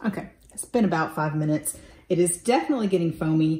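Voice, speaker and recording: A somewhat breathy voice at a fairly quick pace. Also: woman. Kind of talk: tutorial. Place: kitchen. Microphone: camera far.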